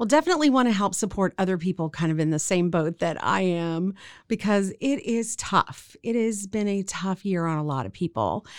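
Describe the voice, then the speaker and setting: A woman with an unremarkable speaking voice and an American accent talks at a moderate pace and medium pitch, with lively intonation and hardly any pauses, in a very clean recording with a silent background. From Central Texas. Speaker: theater owner and director. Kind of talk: casual interview.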